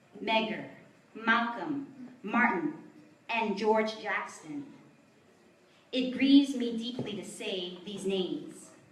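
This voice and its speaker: Over noticeable background noise, a woman speaks at a very slow pace with a fairly high pitch. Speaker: poet. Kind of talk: poetry reading. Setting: live venue.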